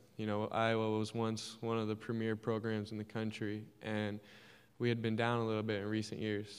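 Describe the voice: His pace is fairly quick and his pitch fairly low. The man's intonation is monotone and flat.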